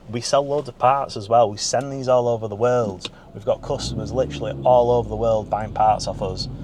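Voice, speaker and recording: Noticeable background noise sits under a man speaking at a medium pitch. He goes at a fairly quick pace with hardly any pauses and ordinary pitch variation. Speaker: car dealer. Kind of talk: casual vlog chat. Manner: unscripted, off the cuff.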